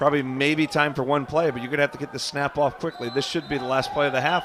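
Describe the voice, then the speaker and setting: A man with an American accent talks at a very fast pace in a fairly high pitch, with noticeable background noise behind him. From United States. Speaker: sports commentator. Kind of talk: live commentary. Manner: animated.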